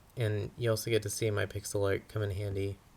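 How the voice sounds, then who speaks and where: A man speaks at a moderate pace with a fairly low pitch and a somewhat breathy quality. The recording is very clean, with a silent background. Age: young adult. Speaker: social media parody account creator. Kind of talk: casual commentary over screen recording. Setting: home recording under a blanket. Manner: halting.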